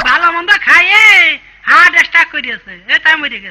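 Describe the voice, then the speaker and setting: A put-on character voice at an extremely high pitch and a moderate pace. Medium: comedy sketch. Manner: wheedling, casual.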